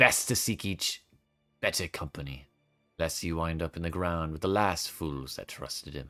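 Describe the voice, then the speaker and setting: A man puts on a gruff, raspy character voice, very deep and low in pitch, at a moderate pace with ordinary pitch variation while faint music plays in the background. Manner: gruff, ominous, scowling.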